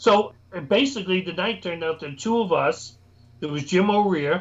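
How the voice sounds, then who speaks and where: With an American accent, a man talks at a moderate pace in a high pitch, using ordinary pitch variation. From New York. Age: 60s. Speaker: paranormal investigator. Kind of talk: casual chat.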